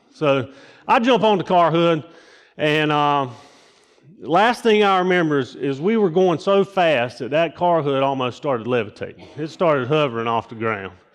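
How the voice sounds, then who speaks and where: Lively intonation from a man with a fairly high pitch, at a moderate pace over a quiet background. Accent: Southern US. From US South, rural eastern North Carolina. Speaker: lay preacher. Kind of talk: sermon. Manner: casual, halting with many fillers.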